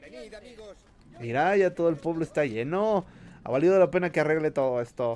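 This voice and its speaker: A man with a Mexican accent talks at a fairly quick pace in a fairly high pitch, his animated tone and lively intonation broken by long, frequent pauses. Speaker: gaming streamer. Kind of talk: live gameplay commentary. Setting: live stream.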